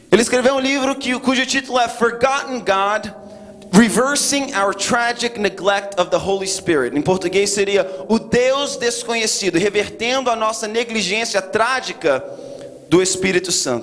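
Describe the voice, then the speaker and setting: Over noticeable background noise, a man talks at a fairly slow pace. His pitch is high, with ordinary pitch variation. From Brazil, raised in US from childhood. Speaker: guest preacher. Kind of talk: sermon. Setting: church.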